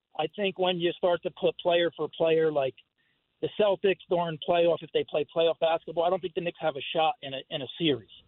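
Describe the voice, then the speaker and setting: This man has a New Jersey accent and a high pitch. He talks at a fairly quick pace. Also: fairly even intonation. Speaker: caller. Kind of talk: phone-in call.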